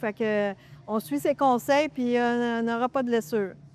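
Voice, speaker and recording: Someone with a Quebec accent speaks at a moderate pace, the sound dry and close with no echo. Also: woman. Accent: Québécois French. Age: 60s. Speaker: masters weightlifter. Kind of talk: interview. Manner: hesitant, many fillers.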